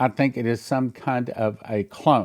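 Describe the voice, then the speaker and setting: An ordinary speaking voice is heard in a very clean recording with a silent background. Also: man. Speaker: pastor. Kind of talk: sermon on Bible prophecy.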